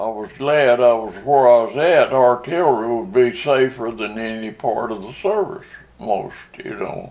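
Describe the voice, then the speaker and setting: Over noticeable background noise, a man with a Southern US accent talks with big swings in loudness. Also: medium pitch for a man, lively intonation, moderate pace. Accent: Southern American. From Arkansas. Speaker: war veteran. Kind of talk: interview answer.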